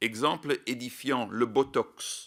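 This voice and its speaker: A man speaks with a Belgian accent and ordinary pitch variation. The recording is very clean, with a silent background. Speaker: scientific expert, animal welfare advocate. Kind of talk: prepared statement at parliamentary hearing. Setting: public parliamentary hearing. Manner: formal.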